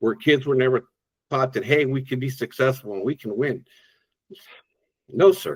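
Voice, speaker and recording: Recorded dry and close with no echo, a somewhat breathy man speaks with ordinary pitch variation and long, frequent pauses. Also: medium pitch for a man, moderate pace. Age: 60s. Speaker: driver support worker, former teacher and coach. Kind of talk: podcast interview. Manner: animated, enthusiastic.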